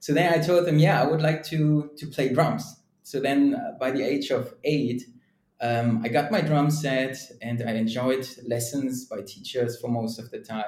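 A somewhat breathy man at a fairly slow pace. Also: medium pitch for a man, ordinary pitch variation. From Germany. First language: German. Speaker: sales and marketing leader, drummer. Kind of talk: casual interview. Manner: conversational, many fillers.

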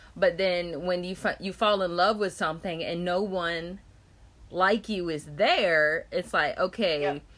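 A plain, everyday voice with an American accent. The pace is fairly slow and the intonation fairly even. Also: woman, fairly low pitch for a woman. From North Carolina, Chapel Hill. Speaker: podcast host. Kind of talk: casual interview.

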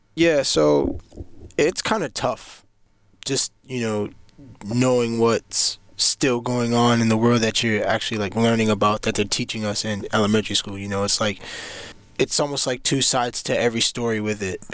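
Here is a normal speaking voice with ordinary pitch variation, delivered at a moderate pace. The recording is very clean, and the background is silent. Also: man, medium pitch for a man. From Cambridge, Massachusetts. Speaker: college student. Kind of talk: casual interview. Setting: studio.

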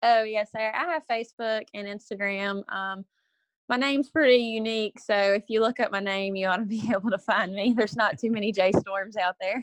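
With a Texas accent, a woman talks at a fairly quick pace in a fairly high pitch with fairly even intonation, and the sound is dry and close with no echo on a very clean recording with a silent background. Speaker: reality show contestant. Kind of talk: casual chat.

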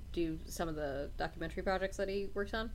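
Her medium pitch showing ordinary variation, a woman speaks at a fairly quick pace with vocal fry. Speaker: podcast co-host.

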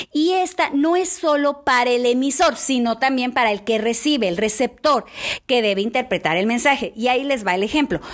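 A woman speaks with a high pitch and an animated tone. Her loudness stays very even throughout. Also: lively intonation, moderate pace. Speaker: church devotional speaker. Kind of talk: devotional talk.

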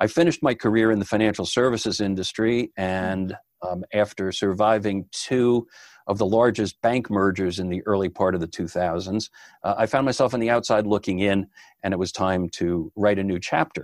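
A man with a normal speaking voice talks at a moderate pace and fairly low pitch, his intonation fairly even, in a very clean recording with a silent background and a dry, close sound with no echo. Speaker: podcaster and media producer. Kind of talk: casual interview chat.

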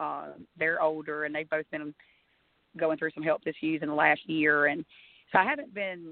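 Speaking with an Alabama accent, a woman uses a very deep, low pitch and monotone, flat intonation. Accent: Alabama twang. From US South. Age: 30s. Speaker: country singer. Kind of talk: casual chat.

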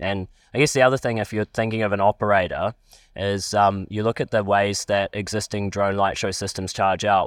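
A man with a New Zealand accent speaks at a moderate pace in a fairly low, monotone, flat voice, captured in a dry, close, very clean recording with no echo and a silent background. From New Zealand, Palmerston North. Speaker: drone company chief executive, aviation lecturer. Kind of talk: interview.

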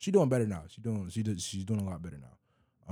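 The man's voice has a dark, mellow tone. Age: 20s. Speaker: podcast host. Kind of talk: casual chat. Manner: animated.

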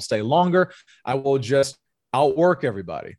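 Against a quiet background, a man with a Southern US accent and a fairly high voice speaks at a fairly quick pace with ordinary pitch variation. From US South, North Louisiana. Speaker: sales executive and pastor. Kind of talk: interview conversation.

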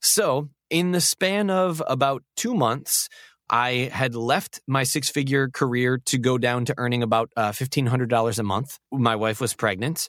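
A normal speaking voice with an American accent moves at a fairly slow pace with ordinary pitch variation and very even loudness, heard in a dry, close sound with no echo on a very clean recording with a silent background. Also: man, medium pitch for a man. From Syracuse, New York, US. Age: 30s. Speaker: voice-over artist. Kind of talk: interview testimony.

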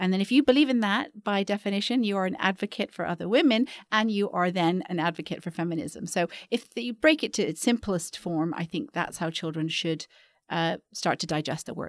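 A woman with an unremarkable speaking voice talks at a fairly quick pace and a medium pitch. The sound is dry and close, with no echo. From Canada (Vancouver). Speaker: educator and founder of a girls' mentoring company. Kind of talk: podcast interview.

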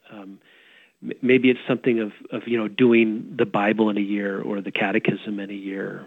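A man with a plain, everyday voice, fairly low in pitch, at a moderate pace, with fairly even intonation and big swings in loudness. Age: 50s. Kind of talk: radio interview. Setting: radio show.

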